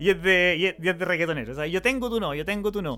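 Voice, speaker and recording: A man speaks with a Chilean accent. His pace is very fast. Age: 30s. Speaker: podcaster. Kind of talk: personal monologue. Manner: halting.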